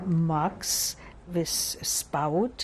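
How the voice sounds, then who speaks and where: A woman with a German accent speaks at a fairly low pitch, with ordinary pitch variation. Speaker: Holocaust survivor. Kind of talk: interview answer.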